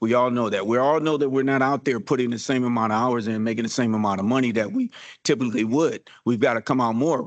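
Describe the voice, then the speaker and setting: A man's medium-pitched voice at a very fast pace, very even in loudness, over a quiet background. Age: 60s. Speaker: party bus operator, veteran, public commenter. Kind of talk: public comment at government meeting. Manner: animated.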